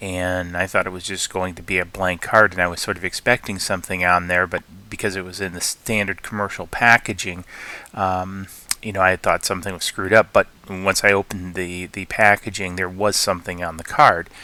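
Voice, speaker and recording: At a fairly quick pace, a man with a very deep, low pitch speaks in a bright, sharp tone with monotone, flat intonation and big swings in loudness. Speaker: 3D printing tech YouTuber. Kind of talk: tutorial. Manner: halting, many fillers.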